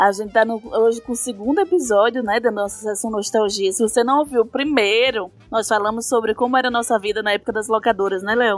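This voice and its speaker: A woman's fairly high voice at a very fast pace, fairly even in intonation and with hardly any pauses, over background music. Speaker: podcast co-host. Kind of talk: casual chat.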